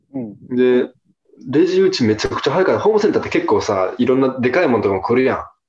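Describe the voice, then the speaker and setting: A man speaks at a very fast pace. He has a Kansai accent. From Hyogo, Japan (Kawanishi). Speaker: podcast guest and listener. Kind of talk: casual chat.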